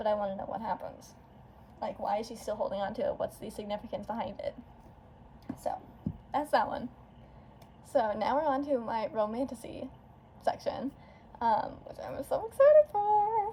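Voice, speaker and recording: This woman's voice is high and swings very widely in pitch. She pauses long and often. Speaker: booktuber. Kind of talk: casual chat. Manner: fast; animated.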